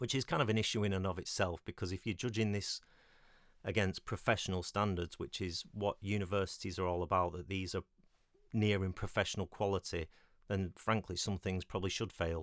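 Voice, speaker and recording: A man with a British accent and a very deep, low pitch, at a fairly quick pace with fairly even intonation, on a very clean recording with a silent background and a dry, close sound with no echo. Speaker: independent filmmaker and former film lecturer. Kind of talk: solo podcast monologue. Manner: halting, many fillers.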